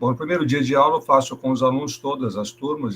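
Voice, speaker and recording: A man talks fairly quickly. A somewhat breathy quality runs through his voice. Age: 60s. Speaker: schoolteacher. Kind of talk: presentation in online teacher training meeting.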